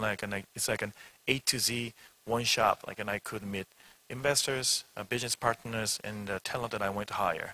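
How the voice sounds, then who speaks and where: Bright and sharp in tone, a man speaks at a medium pitch with fairly even intonation in a dry, close sound with no echo. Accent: Korean. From Korea. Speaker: startup CEO. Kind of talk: panel discussion. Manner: halting.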